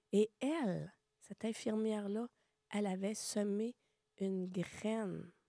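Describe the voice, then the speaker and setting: In a Quebec accent, a woman speaks at a very slow pace with long, frequent pauses, a medium pitch, fairly even intonation and a dark, mellow tone, recorded dry and close with no echo. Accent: Québécois French. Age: 60s. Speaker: podcast guest sharing life story. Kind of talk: testimony.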